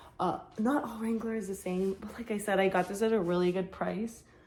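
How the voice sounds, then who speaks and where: This woman talks at a fairly quick pace, her medium pitch showing ordinary variation. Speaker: online clothing reseller. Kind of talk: casual vlog haul. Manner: hesitant fillers.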